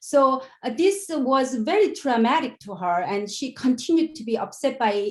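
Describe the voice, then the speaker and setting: Her pitch high and swinging very widely, a woman with a non-native accent speaks at a moderate pace. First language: not English. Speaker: education researcher. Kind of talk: conference presentation. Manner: halting.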